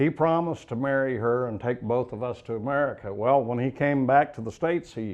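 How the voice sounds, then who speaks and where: A man's medium-pitched, lively intonation at a moderate pace, an ordinary speaking voice. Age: 60s. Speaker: author. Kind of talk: interview.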